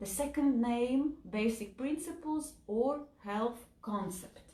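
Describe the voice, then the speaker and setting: Speaking at a very slow pace with lively intonation, a woman with a Latvian accent is heard over noticeable background noise. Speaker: health and nutrition educator. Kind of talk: lecture. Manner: slow, simple wording; halting, with fillers.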